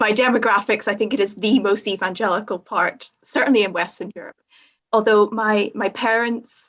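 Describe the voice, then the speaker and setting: Fairly even intonation at a moderate pace. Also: woman. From Northern Ireland. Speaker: theology student training as chaplain. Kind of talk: podcast interview.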